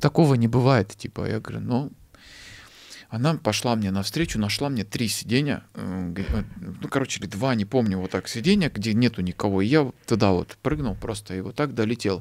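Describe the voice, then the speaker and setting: His pitch sits in the middle range with ordinary variation as the man speaks at a moderate pace. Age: 30s. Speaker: actor, screenwriter and stand-up comedian; actor, stand-up comedian. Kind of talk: casual interview chat. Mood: relaxed, storytelling. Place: studio. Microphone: studio mic.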